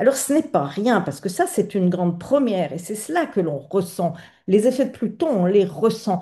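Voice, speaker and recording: Against a quiet background, a woman speaks at a medium pitch with very wide pitch swings and a dark, mellow, somewhat breathy tone. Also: moderate pace. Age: 60s. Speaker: astrologer, channel host. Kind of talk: video monologue on astrology. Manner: hesitant, many fillers.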